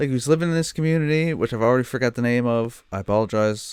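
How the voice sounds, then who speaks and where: A man with a Newfoundland accent, at a very fast pace with ordinary pitch variation. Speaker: streamer reacting to a TV show. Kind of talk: casual reaction commentary. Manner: animated.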